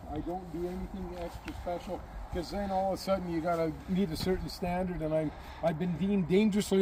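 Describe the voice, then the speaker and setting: Talking at a very fast pace, a man with a high-pitched voice keeps his intonation fairly even. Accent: Canadian prairie. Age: 70s. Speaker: farm equipment maker. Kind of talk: casual chat.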